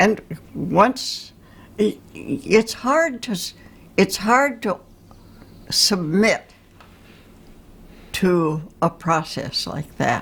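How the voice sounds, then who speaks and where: At a very slow pace with long, frequent pauses, a woman with a medium pitch and a somewhat breathy voice speaks with very wide pitch swings. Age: 80s+. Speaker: Jungian analyst and painter. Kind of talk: interview answer.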